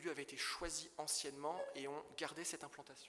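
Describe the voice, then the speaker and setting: A man talks at a moderate pace in a bright, sharp tone, his pitch fairly high. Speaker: property dealer in historic buildings. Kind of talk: illustrated conference talk. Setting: conference hall with audience. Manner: halting, with stumbles and fillers.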